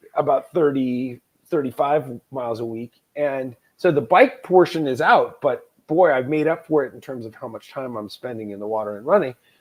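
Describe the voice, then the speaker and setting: This man's pitch is fairly high with ordinary variation, and he talks at a moderate pace. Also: big swings in loudness. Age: 50s. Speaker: former heavy drinker turned Ironman athlete. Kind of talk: interview. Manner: animated.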